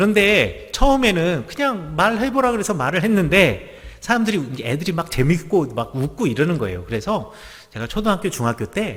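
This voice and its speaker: At a moderate pace, a man with a high pitch talks in very wide pitch swings. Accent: slight Gangwon. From Gangwon province, Korea (Gangneung, Chuncheon). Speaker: pastor. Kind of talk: sermon.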